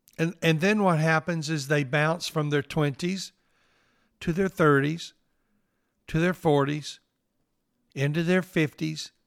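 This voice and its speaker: A man with a Southern US accent and a fairly high pitch, very slow pace, long, frequent pauses, fairly even intonation and very even loudness, in a dry, close sound with no echo and a very clean recording with a silent background. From northeast Mississippi. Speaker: pastor and podcast host. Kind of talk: devotional podcast talk, personal reflection.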